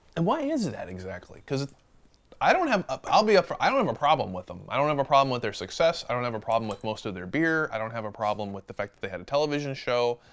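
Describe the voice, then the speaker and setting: A man with an American accent talks at a very fast pace, his pitch medium. His loudness swings widely and his pitch moves through very wide swings. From Western New York State, Buffalo area. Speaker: guest beer enthusiast. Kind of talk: casual chat.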